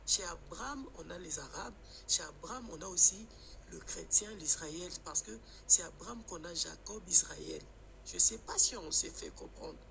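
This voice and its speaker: A man at a fairly slow pace, big swings in loudness, noticeable background noise. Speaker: caller. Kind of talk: live stream call-in discussion. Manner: halting.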